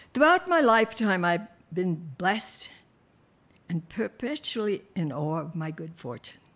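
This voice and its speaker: With an American accent, a woman speaks at a fairly slow pace and a medium pitch, her pitch swinging very widely. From United States. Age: 80s+. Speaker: spa and wellness founder. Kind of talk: conference speech.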